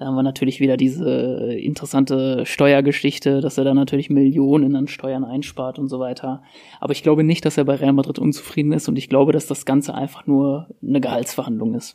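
The voice has a dark, mellow tone and a flat, monotone delivery. It moves at a fairly quick pace with hardly any pauses. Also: man, fairly high pitch for a man. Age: 20s. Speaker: football podcast co-host, IT project manager. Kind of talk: casual chat.

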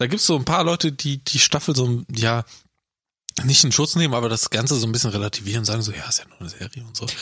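A man talks at a very fast pace in a bright, sharp tone. His medium pitch shows ordinary variation, and his loudness swings widely. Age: 20s. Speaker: podcast co-host. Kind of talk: casual chat.

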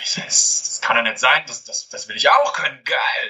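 A man is speaking. His pace is very fast. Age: 20s. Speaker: calisthenics head coach. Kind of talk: interview. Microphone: far from the mic at times, poor connection.

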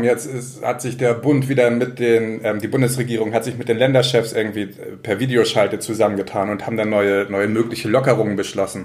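Talking at a fairly quick pace with hardly any pauses, a man at a medium pitch holds a monotone, flat intonation over noticeable background noise. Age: 30s. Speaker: local newspaper journalist. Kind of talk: casual chat.

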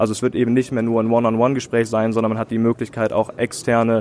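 This is a man's voice at medium pitch. His intonation is monotone and flat. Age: 20s. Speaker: tech startup founder and podcaster. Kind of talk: live podcast interview. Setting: conference stage with audience.

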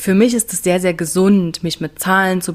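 Here is a woman with a fairly low pitch and an unremarkable speaking voice. She moves at a moderate pace. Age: 30s. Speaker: business coach. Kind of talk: casual chat.

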